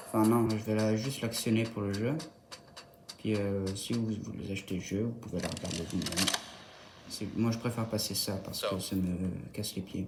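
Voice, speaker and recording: The speaker is soft-spoken, leaving long, frequent pauses over noticeable background noise. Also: moderate pace. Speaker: gaming youtuber. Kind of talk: gameplay tutorial commentary. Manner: hesitant, thinking aloud.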